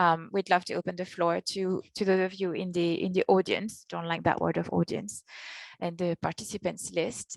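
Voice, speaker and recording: A woman's fairly low voice in a French accent, at a moderate pace, with a dry, close sound and no echo. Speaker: session moderator. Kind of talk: online panel moderation.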